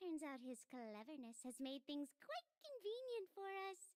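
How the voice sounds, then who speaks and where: Put-on character voice, high in pitch, moving at a moderate pace. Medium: video game. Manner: light, teasing, often laughing.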